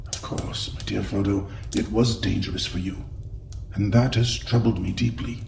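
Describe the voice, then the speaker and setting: Over loud background noise, a man uses a put-on character voice at a fairly low pitch and moderate pace. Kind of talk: audio drama. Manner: grave, measured.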